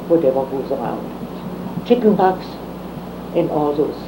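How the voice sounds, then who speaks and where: Amid noticeable background noise, a woman with a very deep, low pitch speaks at a very slow pace. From Germany. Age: 80s+. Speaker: retired teacher. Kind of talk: oral history interview answer.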